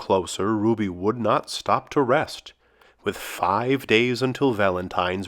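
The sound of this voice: An unforced reading voice carries the text. Pitch moves with ordinary variation.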